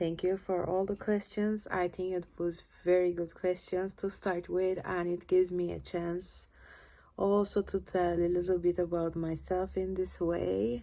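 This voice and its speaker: A woman with a Turkish accent speaks fairly slowly in a fairly low pitch, her tone dark and mellow. Her intonation is monotone and flat, on a very clean recording with a silent background. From Turkey. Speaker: cellist. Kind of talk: casual Q&A vlog. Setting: home, lying on couch in living room. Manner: shy, awkward.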